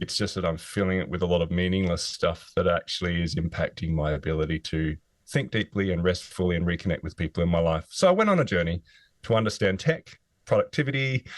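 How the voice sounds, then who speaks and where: Very fast and in an Australian accent, a man with a very deep, low pitch speaks in a dry, close sound with no echo. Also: ordinary pitch variation. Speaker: author, former physiotherapist. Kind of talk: interview.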